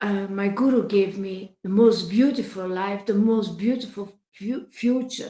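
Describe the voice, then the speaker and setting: Somewhat breathy, a woman with a Dutch accent speaks at a fairly slow pace with hardly any pauses, her medium pitch, dark, mellow tone and fairly even intonation. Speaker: spiritual devotee livestreamer. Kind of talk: livestream talk reading chat messages. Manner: halting, many fillers and restarts; emphatic.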